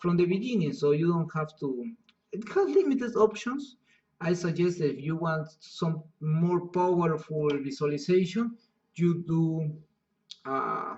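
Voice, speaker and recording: In a Spanish accent, a man talks at a fairly slow pace with a high pitch and ordinary pitch variation. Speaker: software instructor. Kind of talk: tutorial. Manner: halting.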